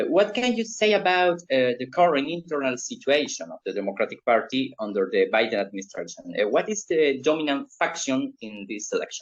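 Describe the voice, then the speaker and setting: Speaking in a Spanish accent, a man with a fairly high pitch, vocal fry and very wide pitch swings talks at a fairly quick pace with hardly any pauses. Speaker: political show host, interviewer. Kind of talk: interview. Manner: hesitant, many fillers.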